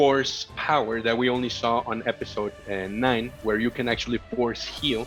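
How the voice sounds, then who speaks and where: Over music in the background, a man with a Spanish accent speaks in a medium pitch. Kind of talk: casual podcast conversation.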